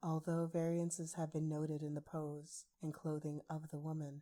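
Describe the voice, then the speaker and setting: A soft-spoken woman's voice, very deep and low in pitch, with a dark, mellow tone. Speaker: ASMR artist. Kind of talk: ASMR story reading.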